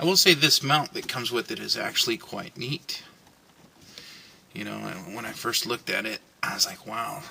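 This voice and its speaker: A man at a moderate pace, with big swings in loudness, long and frequent pauses, and noticeable background noise. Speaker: van life vlogger. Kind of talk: tutorial. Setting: inside a van. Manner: mumbling to himself.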